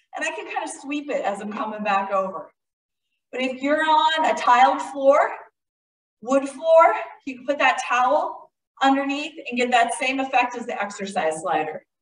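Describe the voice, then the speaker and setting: In a room with audible echo, a woman speaks at a moderate pace in a high, energetic voice with very wide pitch swings and long, frequent pauses. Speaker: fitness instructor. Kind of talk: workout instruction. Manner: energetic, encouraging.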